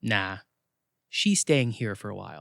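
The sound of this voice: In a put-on character voice, the speaker moves at a fairly slow pace with big pitch swings and vocal fry, in a dry, close sound with no echo. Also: man, fairly bright tone, very clean recording, silent background.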